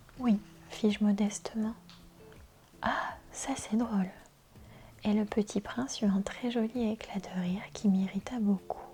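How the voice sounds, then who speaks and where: Soft-spoken and with a calm, gentle tone, a medium-pitched woman speaks very slowly with ordinary pitch variation as music plays in the background. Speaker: ASMR reader. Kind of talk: soft-spoken book reading for relaxation and sleep. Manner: soft-spoken, calm, gentle.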